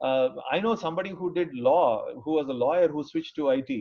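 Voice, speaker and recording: A man talks at a fairly quick pace with a South Indian accent. His intonation is lively. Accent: South Indian (Tamil) English. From Tamil Nadu, India (small town). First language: Tamil. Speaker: engineer and IT professional. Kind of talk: career talk. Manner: hesitant, many fillers.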